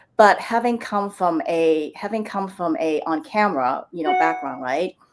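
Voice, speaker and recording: With music in the background, a woman speaks at a medium pitch with very wide pitch swings. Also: moderate pace. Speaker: storytelling consultant. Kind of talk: live-stream interview.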